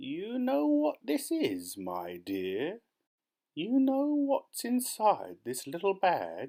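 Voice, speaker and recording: In a put-on character voice, a man speaks very slowly at a high pitch with a creaky sound, on a very clean recording with a silent background. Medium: read story. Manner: conspiratorial.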